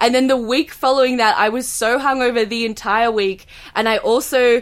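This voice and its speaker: A woman with an Australian accent talks at a moderate pace, her high-pitched voice following fairly even intonation. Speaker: comedian. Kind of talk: casual chat. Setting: video call.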